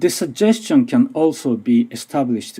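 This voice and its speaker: A man speaks fairly slowly in a dark, mellow tone. He has a Japanese accent. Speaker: language teacher and researcher. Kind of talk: conference presentation. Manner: halting.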